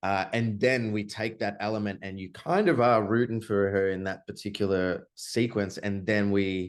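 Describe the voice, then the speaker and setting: A man in an Australian accent, fairly even in intonation, against a quiet background. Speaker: film director. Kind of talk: interview. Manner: many filler words and hesitations.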